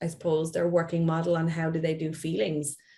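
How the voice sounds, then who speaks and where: A woman with an Irish accent talks at a moderate pace, her voice somewhat breathy and fairly low in pitch. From Ireland. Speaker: play therapist. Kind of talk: interview.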